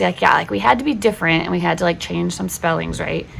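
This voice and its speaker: A woman with a West Coast accent speaks over noticeable background noise. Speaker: homeschooling parent and video host. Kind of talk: casual tutorial talk. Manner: chatty, frequent fillers.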